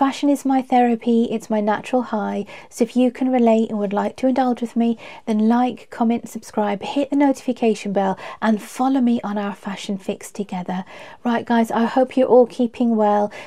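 A woman with a London accent, her fairly high voice dark and mellow, at a moderate pace over a quiet background. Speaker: fashion vlogger. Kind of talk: casual chat. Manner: animated. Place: home room.

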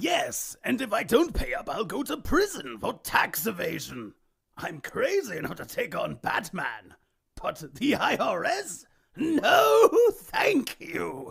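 A cartoonish character voice from a man, extremely high-pitched, at a fairly slow pace. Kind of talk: cartoon villain impression. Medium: voice reel. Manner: manic, mocking, theatrical.

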